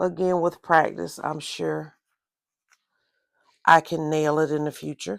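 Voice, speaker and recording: Speaking with a Southern accent, a woman with a very deep, low pitch talks at a fairly slow pace, using ordinary pitch variation and long, frequent pauses. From US South. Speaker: crafts and journaling video creator. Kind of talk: casual tutorial.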